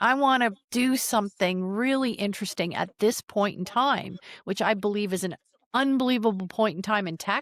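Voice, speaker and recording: In a very clean recording with a silent background and a dry, close sound with no echo, a woman uses an ordinary speaking voice at a medium pitch and moderate pace with ordinary pitch variation. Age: 60s. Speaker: tech founder and podcaster. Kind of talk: interview conversation.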